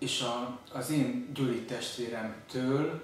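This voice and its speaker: A man speaks at a medium pitch in a room with strong echo and light background noise. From Hungary. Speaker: journalist; interviewee. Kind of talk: interview. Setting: video interview. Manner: halting.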